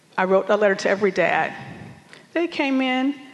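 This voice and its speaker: Speaking with an American accent, a woman has a fairly high pitch and ordinary pitch variation. She keeps a moderate pace despite noticeable background noise. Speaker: veteran teacher. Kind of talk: panel discussion, testimony.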